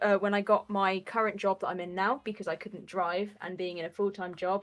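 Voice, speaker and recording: With a British accent, the speaker moves at a fairly quick pace and keeps the intonation fairly even. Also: woman. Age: 20s. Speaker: roller derby player and coach. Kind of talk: casual chat. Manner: halting, with many fillers.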